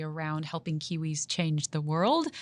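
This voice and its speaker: A woman with a fairly low pitch speaks in a bright, sharp tone. Her intonation is monotone and flat, and the background is quiet. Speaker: tech company country manager. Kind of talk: interview.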